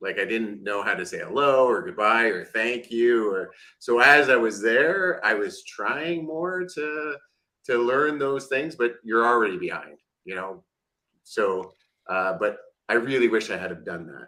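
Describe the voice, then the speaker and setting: Speaking with a Canadian accent at a fairly slow pace, a man uses a medium pitch and lively intonation, his tone bright and sharp. His loudness swings widely, and the recording is very clean with a silent background. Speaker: podcast co-host. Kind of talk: casual chat.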